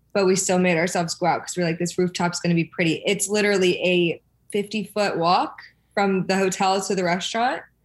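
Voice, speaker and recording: At a fairly quick pace, a woman with a medium pitch and fairly even intonation speaks in a normal speaking voice. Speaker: reality TV personality. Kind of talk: casual chat.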